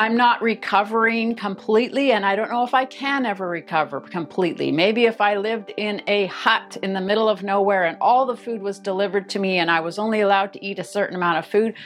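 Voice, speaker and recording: A woman at medium pitch, fairly quick and with hardly any pauses, over music in the background. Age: 50s. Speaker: weight loss vlogger. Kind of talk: monologue to camera.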